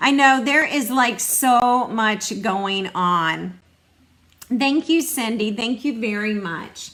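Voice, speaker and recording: A woman at a very slow pace, her intonation lively. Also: fairly high pitch for a woman. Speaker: stamping demonstrator. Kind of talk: live craft demo. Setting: online livestream. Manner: casual, chatty.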